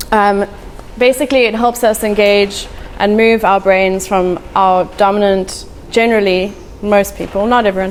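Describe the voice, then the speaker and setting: A woman's medium-pitched voice at a moderate pace, with fairly even intonation and noticeable background noise. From South Africa, Eastern Cape. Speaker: artist and former accountant. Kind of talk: live talk to an audience. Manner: casual, hesitant.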